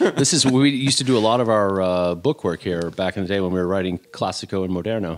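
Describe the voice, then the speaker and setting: Speaking at a very fast pace with hardly any pauses, a man with a fairly low pitch uses ordinary pitch variation over noticeable background noise. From US Midwest. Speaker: chef. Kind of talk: casual chat. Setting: at home.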